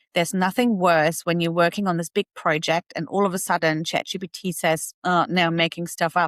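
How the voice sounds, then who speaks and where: Speaking with a non-native accent, a woman has a fairly low pitch. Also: dry, close sound with no echo, very clean recording, silent background. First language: not English. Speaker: tech YouTuber and AI educator. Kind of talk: tutorial. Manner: casual, conversational.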